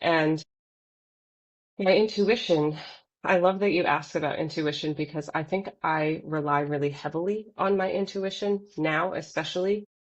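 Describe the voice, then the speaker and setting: A woman with an American accent and an ordinary speaking voice, fairly low in pitch, with ordinary pitch variation and a moderate pace. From Los Angeles, US. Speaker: poet, podcast guest. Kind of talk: casual interview chat.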